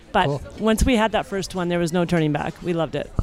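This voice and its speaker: Music plays in the background. A woman talks at a very fast pace with lively intonation. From Montreal, Quebec. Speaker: swinger guest. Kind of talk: casual chat. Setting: cruise ship dining room. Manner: animated.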